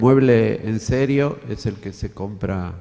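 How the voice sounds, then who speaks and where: A man speaks at a medium pitch with ordinary pitch variation and a dark, mellow tone. He has an Argentine accent. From Argentina. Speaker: design lecturer, audience member. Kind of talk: Q&A after a talk. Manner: halting.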